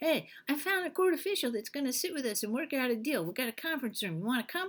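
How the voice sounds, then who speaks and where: A female-sounding put-on character voice rattles along at a very fast pace. The pitch is high. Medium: solo performance. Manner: scornful, gloating.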